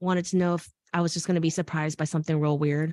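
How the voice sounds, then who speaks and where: A woman speaks very fast in an American accent at a fairly low pitch. The sound is dry and close with no echo, over a quiet background. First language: Korean. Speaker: fashion educator, video channel host. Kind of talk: casual interview chat. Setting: live stream video call.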